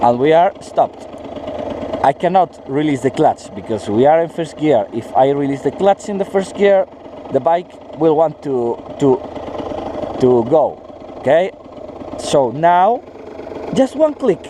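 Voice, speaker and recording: Over noticeable background noise, a man with a fairly high pitch speaks at a fairly slow pace, using lively intonation and long, frequent pauses. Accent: non-native. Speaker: motorcycle vlogger. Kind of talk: tutorial. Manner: halting, many fillers.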